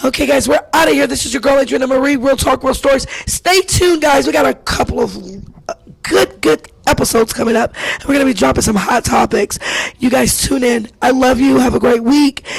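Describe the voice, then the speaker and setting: The speaker's intonation is lively and the pace fairly quick, with noticeable background noise present. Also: woman, high pitch for a woman. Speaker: talk show host. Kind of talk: show outro. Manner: animated.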